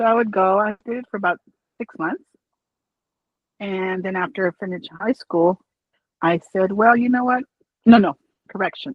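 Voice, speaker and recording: In an American accent, a woman speaks at a moderate pace and medium pitch, with ordinary pitch variation and long, frequent pauses. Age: 60s. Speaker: office worker. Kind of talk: interview. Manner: outgoing.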